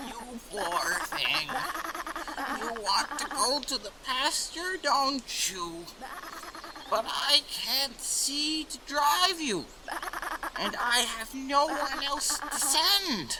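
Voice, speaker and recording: In a high-pitched, put-on character voice, the speaker talks at a very slow pace with long, frequent pauses over clear background noise. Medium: audio drama.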